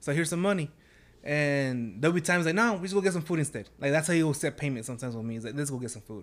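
Talking very fast with lively intonation, a man with an American accent uses a fairly high pitch. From Dallas, Texas (South Oak Cliff). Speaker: sumo club founder. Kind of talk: casual interview.

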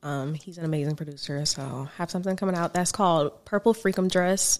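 This woman has a normal speaking voice, fairly low in pitch, with ordinary pitch variation and a fairly quick pace. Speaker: singer and violinist. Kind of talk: casual interview chat.

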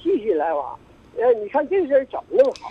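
A man speaks with very wide pitch swings. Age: 80s+. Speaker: caller. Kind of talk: phone-in advice call. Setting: phone call. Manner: halting.

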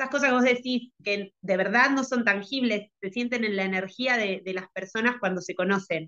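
With hardly any pauses, a woman with a plain, everyday voice talks at a medium pitch and moderate pace, with ordinary pitch variation. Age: 30s. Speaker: skating coach. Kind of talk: interview conversation. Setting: video call.

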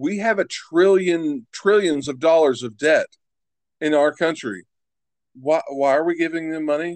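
A man has a normal speaking voice, pitched fairly high with ordinary pitch variation. He speaks with an American accent. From West Virginia, Huntington. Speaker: podcast host. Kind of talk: casual chat.

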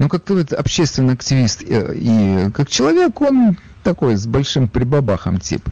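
A man speaks at a moderate pace in a fairly high pitch for a man. Noticeable background noise runs behind him. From Ukraine, Odesa. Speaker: radio talk show host. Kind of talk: call-in radio talk show.

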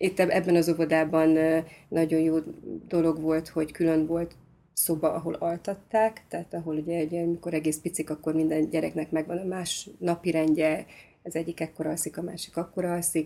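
A woman's fairly low voice carries a dark, mellow tone and flat, monotone intonation. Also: fairly quick pace. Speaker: conductive education teacher and parent. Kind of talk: casual conversation.

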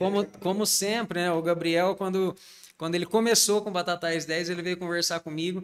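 Noticeable background noise sits behind a voice moving at a moderate pace with fairly even intonation. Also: man, high pitch for a man. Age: 40s. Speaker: pharmacist, pharmacy owner. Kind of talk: interview.

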